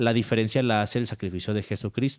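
A man speaks against a quiet background. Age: 30s. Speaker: atheist content creator, former evangelist. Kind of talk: casual interview. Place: home room. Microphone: studio mic.

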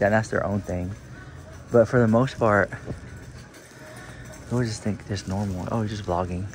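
A man's fairly low voice at a fairly slow pace, with ordinary pitch variation, dry sound with no echo, and music in the background. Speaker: vlogger. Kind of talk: casual vlog chat. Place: shop. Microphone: phone near.

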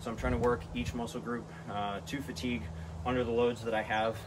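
Over noticeable background noise, a man talks at a very fast pace in a fairly low pitch with vocal fry and ordinary pitch variation. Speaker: fitness vlogger. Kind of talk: casual vlog chat explaining a workout. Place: garage. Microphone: camera far.

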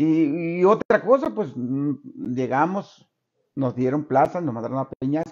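A fairly slow man's voice, fairly high in pitch with ordinary pitch variation, over a quiet background. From Sonora, Mexico. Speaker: retired schoolteacher. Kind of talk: interview. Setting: interviewer's home. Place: home room. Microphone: studio mic.

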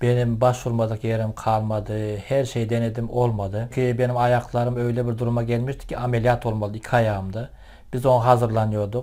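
The man's medium pitch holds flat and monotone as he talks at a moderate pace. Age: 50s. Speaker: product user. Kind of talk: testimony. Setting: at home.

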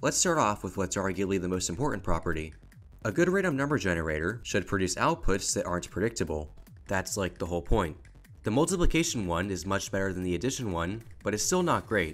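A man talks at a very fast pace with lively intonation and a fairly low pitch. Music plays in the background. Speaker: educational video narrator. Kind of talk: educational voiceover narration.

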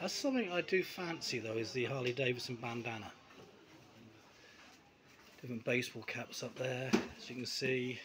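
A man at a moderate pace with long, frequent pauses amid noticeable background noise. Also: ordinary pitch variation. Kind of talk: casual vlog chat. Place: bar. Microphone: phone near.

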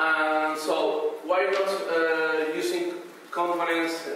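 Strong room echo surrounds a man speaking with a Spanish accent over light background noise. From Canary Islands, Spain. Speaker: conference presenter, researcher. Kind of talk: conference talk. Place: hall.

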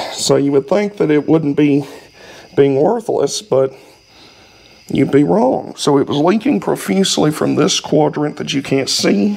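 This man speaks with a Southern US accent at a fairly high pitch. His pace is fairly slow and his intonation lively. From US South. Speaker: YouTuber working on old vehicles. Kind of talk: casual garage vlog. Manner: rambling, colloquial. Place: garage. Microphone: camera far.

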